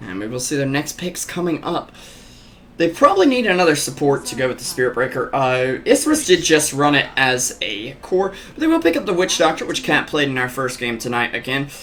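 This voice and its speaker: With an American accent and lively intonation, a man speaks at a fairly quick pace in a fairly high pitch over noticeable background noise. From US South, North Carolina. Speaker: esports commentator. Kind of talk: live commentary. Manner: animated.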